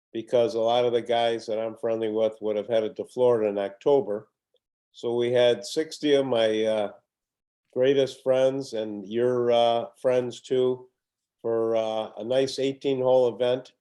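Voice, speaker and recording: With a Chicago accent, a man speaks fairly slowly at a medium pitch, his tone dark and mellow and his intonation monotone and flat. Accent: Chicago-area American. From US Midwest, Highland Park, Illinois. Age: 80s+. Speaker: retired golfer, host's father. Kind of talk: casual chat. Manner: soft-spoken.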